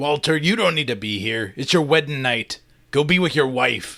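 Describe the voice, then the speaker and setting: A man's raspy, put-on character voice, fairly high in pitch, at a moderate pace. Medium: read story. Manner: blunt, commanding.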